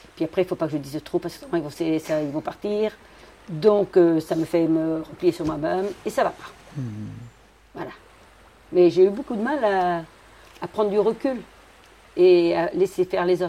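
Against noticeable background noise, a woman speaks at a moderate pace with long, frequent pauses. Her voice is fairly low, with ordinary pitch variation and big swings in loudness. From Brittany. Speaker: fisherwoman. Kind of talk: interview.

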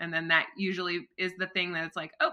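A woman's voice, fairly low in pitch. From US Midwest, Flint, Michigan. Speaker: marketing strategist and astrologer. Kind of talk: casual interview chat.

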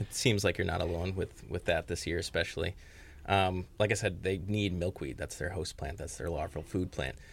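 A man's somewhat breathy, very deep, low voice at a moderate pace with ordinary pitch variation, on a very clean recording with a silent background. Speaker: conservation manager. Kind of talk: radio interview.

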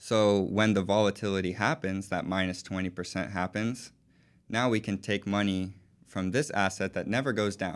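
Speaking with an American accent, a man keeps a moderate pace and fairly even intonation. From Texas, Houston. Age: 20s. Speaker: financial advisor. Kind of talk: interview.

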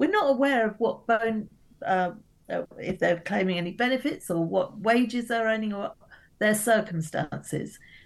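In an ordinary speaking voice, a woman with a fairly high pitch talks at a moderate pace with lively intonation. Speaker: politician. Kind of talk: radio interview, political discussion.

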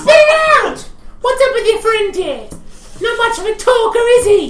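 Loud and squeaky, a woman's put-on character voice comes at a moderate pace with extremely high pitch, a slight echo and light background noise. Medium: actual play. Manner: loud, bubbly, calls people love.

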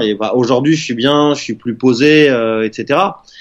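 The man speaks with ordinary pitch variation. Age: 30s. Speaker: web marketing entrepreneur. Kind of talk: interview.

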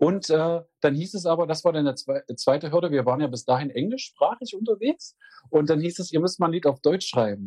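A man's fairly high voice with a dark, mellow tone and lively intonation, at a fairly quick pace, in a dry, close sound with no echo. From Magdeburg, eastern Germany. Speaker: musician, singer. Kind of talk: interview.

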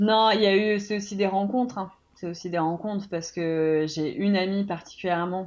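Ordinary pitch variation and a moderate pace from a female speaker. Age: 30s. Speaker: former journalist, online shop owner, mother. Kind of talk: testimony. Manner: halting.

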